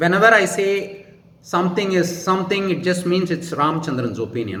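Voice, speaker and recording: A high-pitched man with a Tamil Indian accent over noticeable background noise. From India, Tamil Nadu. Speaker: YouTuber answering viewer questions. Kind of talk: casual monologue, Q&A. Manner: slow, careful; formal sentences.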